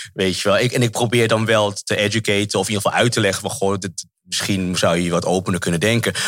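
At a very fast pace with hardly any pauses, a man speaks in a fairly low pitch with fairly even intonation. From Netherlands, Amsterdam. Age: 40s. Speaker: actor. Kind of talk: interview. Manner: halting.

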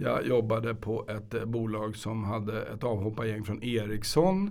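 At a moderate pace, a man talks at a medium pitch, with audible room echo. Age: 50s. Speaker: lawyer. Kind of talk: casual chat. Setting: studio.

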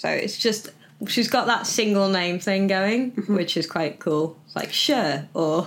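Speaking in a normal speaking voice, a woman talks at a fairly slow pace with a medium pitch and ordinary pitch variation. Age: 30s. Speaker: podcast host and burlesque performer. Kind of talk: casual chat.

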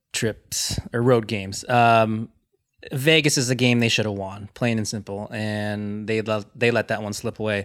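A man of medium pitch with a Californian accent talks with fairly even intonation. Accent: Californian American. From US West Coast, Los Angeles. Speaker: team digital manager. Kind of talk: casual chat.

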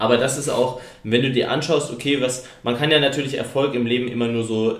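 A man speaks at a medium pitch with ordinary pitch variation and a fairly quick pace. Noticeable background noise and audible room echo surround him. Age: 20s. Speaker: podcast host and company founder. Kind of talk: casual chat.

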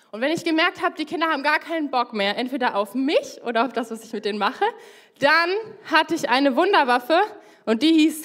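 With music in the background, the speaker talks at a fairly quick pace, using lively intonation and big swings in loudness. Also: woman. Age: 20s. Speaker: young lay preacher. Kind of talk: sermon.

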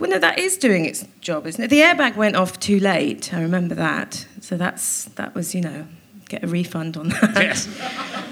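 Moderately paced speech from a woman, with noticeable background noise behind it. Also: medium pitch for a woman, ordinary pitch variation. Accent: South Wales. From Wales, Cardiff. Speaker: comedian and actor. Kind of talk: live comedy interview. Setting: stage with audience.

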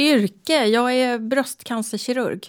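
The very clean recording of a woman has a silent background. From Stockholm area, Sweden. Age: 60s. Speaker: breast cancer surgeon. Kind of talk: interview.

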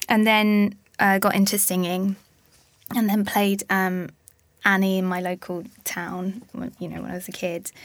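A woman with an Essex accent, medium-pitched and flat in intonation, at a moderate pace with long, frequent pauses and big swings in loudness, on a very clean recording with a silent background. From Essex, Harlow. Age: 20s. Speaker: actress. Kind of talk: casual chat.

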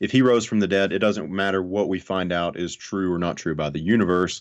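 A moderate pace in a Southern US accent against a quiet background. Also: man. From US South (North Alabama). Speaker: atheist YouTuber. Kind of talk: casual interview discussion.

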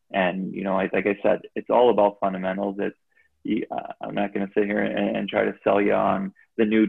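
A man speaks in a fairly low voice with an American accent at a moderate pace. His intonation is monotone and flat. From Chicago area, Illinois (Gurnee). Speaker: ice hockey assistant coach, former player. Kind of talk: casual interview chat. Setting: video call.

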